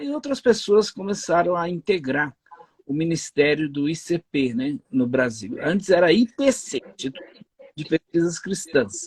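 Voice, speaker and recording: A man speaks at a fairly slow pace with a high pitch and very wide pitch swings. The sound is dry and close, with no echo. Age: 60s. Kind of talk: interview.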